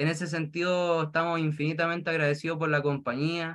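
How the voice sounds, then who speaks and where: In a Chilean accent, a man with a fairly high pitch and a bright, sharp tone speaks against a quiet background. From rural Chile. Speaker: direct seller. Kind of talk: testimony. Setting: video call. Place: home room. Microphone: video call.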